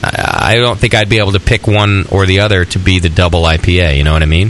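A man's animated voice at a moderate pace, over noticeable background noise. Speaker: radio host. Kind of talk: casual banter. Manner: joking, animated.

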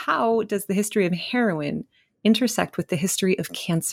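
A woman with a plain, everyday voice speaks at a fairly quick pace, with a medium pitch and lively intonation, on a very clean recording with a silent background. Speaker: podcast host. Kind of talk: interview conversation.

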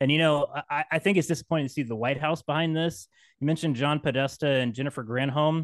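Speaking at a very fast pace, a man with an American accent has a fairly high pitch and ordinary pitch variation. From West Virginia, Appalachia. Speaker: podcaster. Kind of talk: casual chat.

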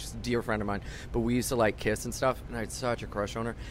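This man talks at a very fast pace. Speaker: comedian. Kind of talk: casual chat. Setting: studio.

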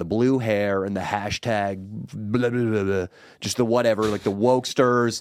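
This man has an ordinary speaking voice at medium pitch, with ordinary pitch variation. He talks at a moderate pace. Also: very clean recording, silent background. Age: 30s. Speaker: podcast co-host and comedic vlogger. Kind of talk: casual chat. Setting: studio.

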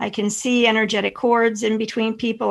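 At a moderate pace, a woman with a fairly high pitch talks in an unremarkable speaking voice against a quiet background. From Pennsylvania. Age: 50s. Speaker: intuitive and energy healer. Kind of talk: interview conversation.

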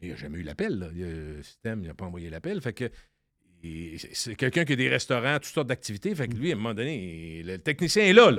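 A man with a fairly low pitch talks at a very fast pace, with very wide pitch swings and big swings in loudness. The recording is very clean against a silent background. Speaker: radio columnist. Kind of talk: casual chat.

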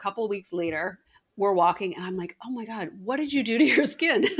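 A woman's fairly high voice swings very widely in pitch and shows big swings in loudness. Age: 50s. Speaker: podcast host, beauty editor. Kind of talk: casual chat.

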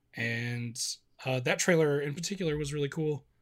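Somewhat breathy and fairly high-pitched, this man talks with an American accent on a very clean recording with a silent background. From US Midwest. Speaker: video publisher. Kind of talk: casual chat.

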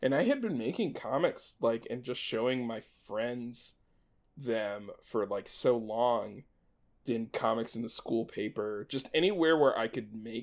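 A man with an ordinary speaking voice talks at a fairly slow pace and medium pitch, with ordinary pitch variation. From US, Maryland. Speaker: animator and showrunner. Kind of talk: casual chat.

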